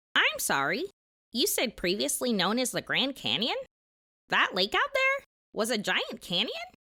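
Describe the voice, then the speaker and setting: A cartoonish character voice moves along at a moderate pace. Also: female-sounding voice, high pitch for a woman. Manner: inquisitive, earnest.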